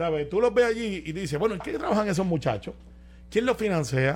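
This man's voice sits high in pitch, with lively intonation and a fairly quick pace. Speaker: radio show panelist. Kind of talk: casual chat.

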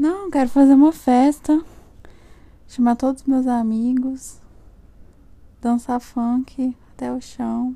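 A woman talks at a very slow pace with long, frequent pauses and a high pitch. Her intonation is fairly even, and background noise is noticeable. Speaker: podcaster's girlfriend. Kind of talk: casual chat.

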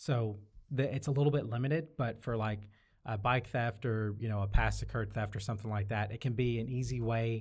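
A man speaks with an American accent at a medium pitch and a fairly quick pace. His voice is somewhat breathy, and his intonation stays fairly even. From Syracuse, New York, US Northeast. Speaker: campus police officer. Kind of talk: podcast interview.

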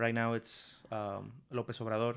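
You can hear a Spanish accent here. It belongs to a male speaker. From Mexico. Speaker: podcast guest. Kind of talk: casual chat. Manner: quiet; halting.

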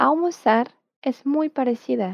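Her pitch high and its variation ordinary, a woman speaks at a very slow pace in a dry, close sound with no echo. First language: Portuguese (speaking Spanish). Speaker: Portuguese language teacher. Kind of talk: language lesson. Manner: slow, clear enunciation for repetition.

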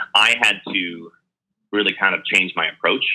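This man speaks at a moderate pace with an American accent. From Texas, Dallas. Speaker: entrepreneur and leadership consultant, former Navy SEAL. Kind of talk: interview.

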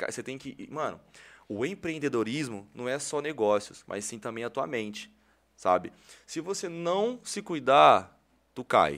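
A man's medium-pitched voice with vocal fry and very wide pitch swings, on a very clean recording with a silent background. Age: 20s. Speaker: social media influencer and entrepreneur. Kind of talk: casual interview chat.

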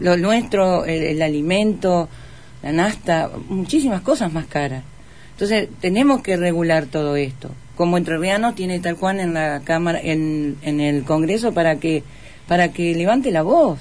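A woman's normal speaking voice, fairly low in pitch, with lively intonation at a fairly slow pace. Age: 50s. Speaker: political candidate. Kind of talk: radio interview.

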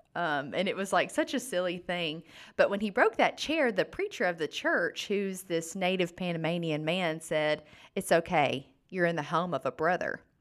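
In an Alabama accent, a woman with a fairly low pitch talks at a moderate pace with ordinary pitch variation, in a very clean recording with a silent background. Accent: Southern US (Alabama). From US South, northern Alabama. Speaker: nonprofit clean water program staff. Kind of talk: casual interview. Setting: podcast studio.

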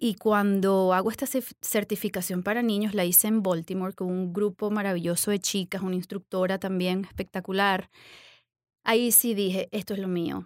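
Her monotone, flat intonation comes through in a very clean recording with a silent background, the woman's voice sounding dry and close with no echo. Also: medium pitch for a woman, moderate pace. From Venezuela. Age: 40s. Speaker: yoga instructor and business owner. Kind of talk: interview.

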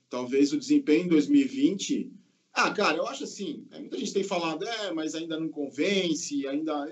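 A fairly high-pitched man's voice with lively intonation at a moderate pace. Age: 50s. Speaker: football podcast panelist. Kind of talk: casual chat. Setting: video call.

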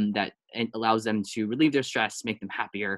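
This man has a plain, everyday voice at a fairly low pitch. He talks at a fairly quick pace over a quiet background. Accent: American. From Taiwan-born, raised in the US from age three. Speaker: app startup founder. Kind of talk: interview. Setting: video call.

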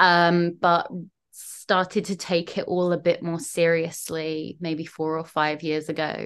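Against a quiet background, a woman with a southern English accent speaks at a fairly low pitch. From southern England, London/Kent border. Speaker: poet and writer. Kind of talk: casual interview chat.

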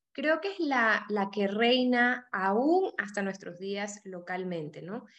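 A woman's fairly slow speech with very wide pitch swings. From Panama. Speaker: podcast co-host. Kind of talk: interview. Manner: halting.

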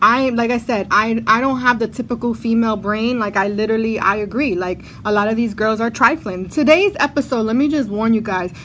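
Talking at a fairly quick pace with hardly any pauses, a woman uses a fairly high pitch, an animated tone and ordinary pitch variation. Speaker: podcast host. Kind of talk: casual chat. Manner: animated, talkative.

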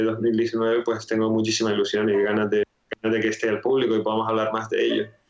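A man's voice of medium pitch. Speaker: digital product designer. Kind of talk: interview.

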